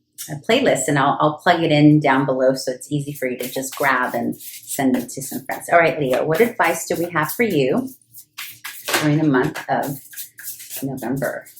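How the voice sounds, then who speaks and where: An animated woman's very deep, low voice with music in the background. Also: ordinary pitch variation, moderate pace. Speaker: tarot reader. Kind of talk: tarot reading monologue.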